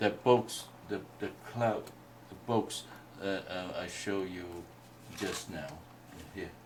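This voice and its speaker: A man with a Chinese accent talks at a very slow pace, leaving long, frequent pauses. His pitch is fairly low and his intonation fairly even, with big swings in loudness. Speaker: Chinese painting teacher. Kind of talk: workshop teaching. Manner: halting.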